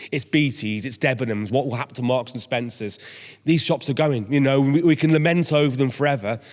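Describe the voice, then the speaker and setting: A man's medium pitch at a very fast pace. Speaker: business organisation chief executive. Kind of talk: public talk to a citizens' panel.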